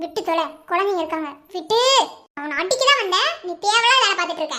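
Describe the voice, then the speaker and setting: Doing a cartoonish character voice, a woman speaks at a moderate pace in an extremely high pitch with lively intonation. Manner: fast, sharp-tongued, teasing.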